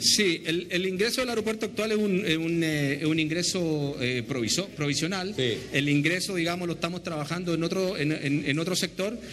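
Barely pausing, a man with a high pitch talks over light background noise. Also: ordinary pitch variation, moderate pace, very even loudness. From Chile. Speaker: airport operations manager. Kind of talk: on-location interview. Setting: on location at an airport. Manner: halting, repeats words. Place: hall. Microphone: handheld.

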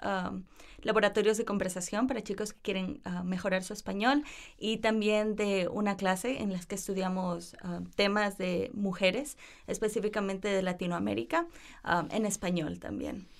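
A woman with a normal speaking voice talks at a moderate pace and medium pitch, with ordinary pitch variation, on a very clean recording with a silent background. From Ecuador (Cuenca, Guayaquil, Quevedo, Quito). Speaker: university student. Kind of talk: interview. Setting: studio.

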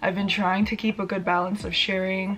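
With light background noise, a woman talks at a fairly quick pace. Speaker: fitness vlogger. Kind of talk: casual vlog chat. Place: home room. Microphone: phone near.

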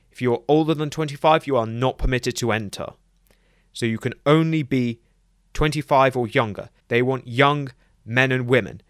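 In a dry, close recording with no echo and a silent, very clean background, a man speaks in a normal speaking voice at medium pitch, with fairly even intonation and a moderate pace. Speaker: lore video narrator. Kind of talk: scripted narration.

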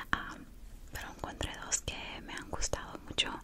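A woman's whispering. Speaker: ASMR creator. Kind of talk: casual ASMR ramble. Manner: whispered. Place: home room. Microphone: studio mic.

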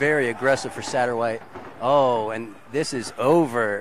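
A man talks at a moderate pace in a dry sound with no echo. There is light background noise. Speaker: fight commentator. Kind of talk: live MMA commentary. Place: hall.

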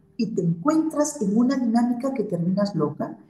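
A woman talks at a fairly slow pace, and audible room echo surrounds her voice. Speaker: remote guest. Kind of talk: interview answer. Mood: earnest, recounting hard experience. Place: home room. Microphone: video call.

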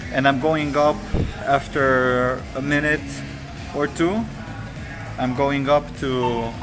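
A man speaks with clear music in the background. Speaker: vlogger. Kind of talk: casual vlog chat. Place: gym. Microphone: phone near.

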